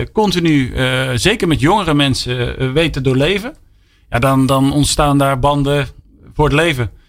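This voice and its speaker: A man with a plain, everyday voice and a fairly high pitch speaks at a moderate pace on a very clean recording with a silent background. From Brabant, Breda. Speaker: company CEO. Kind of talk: radio interview. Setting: studio.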